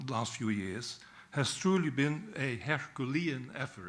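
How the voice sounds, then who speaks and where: A man talks at a fairly slow pace with a Dutch accent. His pitch is fairly high and his intonation lively. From Netherlands. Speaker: peace historian. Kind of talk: speech at a book launch. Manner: formal.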